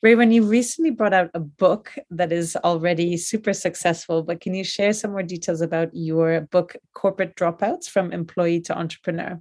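At a moderate pace and with hardly any pauses, this is a normal speaking voice with fairly even intonation. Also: woman, fairly low pitch for a woman. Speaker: podcast host. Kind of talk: interview. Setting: video call.

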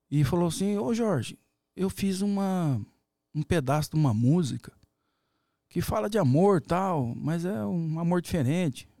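Recorded very cleanly against a silent background, a man with a high, dark, mellow voice talks at a fairly slow pace with lively intonation and long, frequent pauses. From Paraná, Brazil (Umuarama). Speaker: sertanejo singer and veterinarian. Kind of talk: casual interview. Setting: studio.

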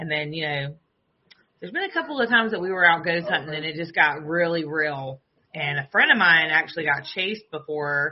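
A woman's very deep, low voice in a Southern US accent at a moderate pace. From US South. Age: 30s.

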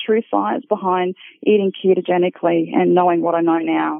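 Moderate pace from a woman with an Australian accent. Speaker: paramedic and academic. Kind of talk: personal testimony.

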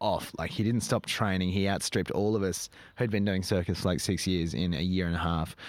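Recorded very cleanly against a silent background, a man with an Australian accent speaks fairly quickly in a fairly low pitch. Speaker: circus performer and troupe director. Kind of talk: casual interview chat.

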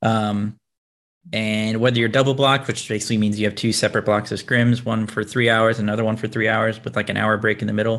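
A man with an American accent speaks very fast in a monotone, flat delivery, on a very clean recording with a silent background. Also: medium pitch for a man. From Tennessee and Florida, US South. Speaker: professional video game player and content creator. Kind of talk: casual interview.

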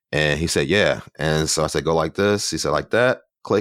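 With an American accent and vocal fry, a man talks at a moderate pace, the sound dry and close with no echo. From Philadelphia. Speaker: photographer and former TV news reporter. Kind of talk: casual interview chat.

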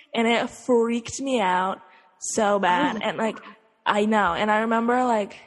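A woman speaks in a plain, everyday voice. Her pitch is fairly high with ordinary pitch variation. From Utah. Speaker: podcast co-host. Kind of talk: casual chat.

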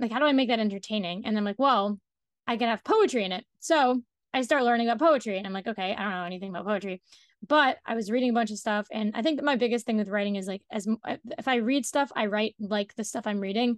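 Against a quiet background, in a dry, close sound with no echo, a woman with an American accent speaks very fast at a fairly high pitch with ordinary pitch variation. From US, Washington D.C. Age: young. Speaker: playwright and climate activist. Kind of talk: interview.

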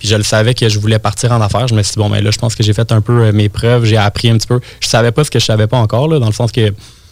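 Over noticeable background noise, a man talks at a very fast pace. His pitch is medium and his intonation fairly even. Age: 20s. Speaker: web marketing entrepreneur. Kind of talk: interview. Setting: studio.

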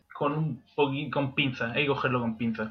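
His intonation is fairly even. The man's voice sits at a medium pitch. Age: 20s. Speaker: history graduate podcast co-host. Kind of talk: casual chat.

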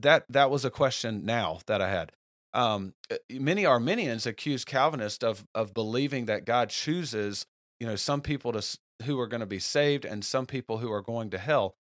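A man's medium-pitched voice with ordinary pitch variation at a moderate pace, in a very clean recording with a silent background and a dry, close sound with no echo. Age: 30s. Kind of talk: solo religious podcast talk. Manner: halting, many fillers and restarts.

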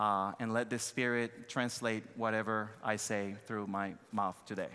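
A man with a Dominican accent, medium pitch and a bright, sharp tone, fairly even intonation and a fairly slow pace. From Dominican Republic. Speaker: missionary pastor. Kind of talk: sermon. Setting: church.

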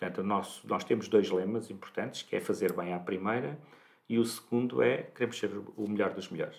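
At a fairly quick pace, a man with an ordinary speaking voice talks at a fairly low pitch with ordinary pitch variation. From Portugal, Santarém. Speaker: clinical lab director, pharmacist. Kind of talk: interview.

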